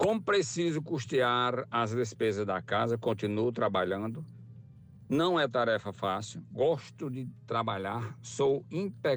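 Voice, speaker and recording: Over music in the background, a man with a medium pitch speaks at a very slow pace with lively intonation. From rural Ceará, Brazil. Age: 60s. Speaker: retired worker, driver. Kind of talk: recorded testimony.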